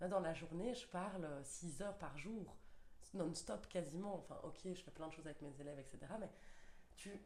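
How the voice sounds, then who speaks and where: Fairly low female voice, moderately paced, ordinary pitch variation, audible room echo around it. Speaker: primary school teacher. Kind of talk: casual chat. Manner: hesitant, many fillers.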